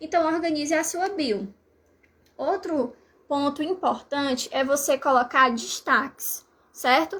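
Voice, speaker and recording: A woman with a high pitch speaks at a very slow pace with ordinary pitch variation and long, frequent pauses. The recording is very clean, with a silent background. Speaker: language teacher. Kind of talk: live stream tutorial.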